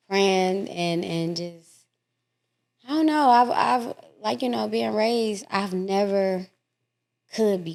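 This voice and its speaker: A woman at medium pitch talks at a very slow pace, with long, frequent pauses. Her pitch swings very widely and her loudness shifts in big swings. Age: 30s. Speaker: podcast guest sharing life story. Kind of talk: casual interview.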